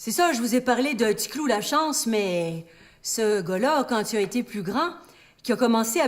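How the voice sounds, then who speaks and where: Pitch swings very widely at a fairly slow pace. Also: woman. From Quebec. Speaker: storyteller. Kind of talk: live stage storytelling. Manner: humorous.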